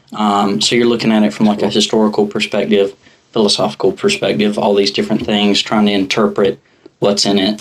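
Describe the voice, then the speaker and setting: Speaking at a fairly quick pace with a Southern US accent, a man keeps a fairly low pitch, fairly even intonation, and very even loudness. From South Carolina, US South. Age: 20s. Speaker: podcast guest, cowboy and businessman. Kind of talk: casual podcast chat.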